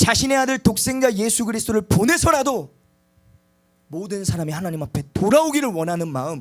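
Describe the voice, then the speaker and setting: Talking at a fairly quick pace, a man with a high pitch moves through very wide pitch swings. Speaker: preacher. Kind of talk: sermon. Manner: loud.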